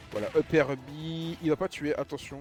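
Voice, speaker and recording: Music plays in the background as a man talks in an animated tone. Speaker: esports commentator. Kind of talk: live commentary.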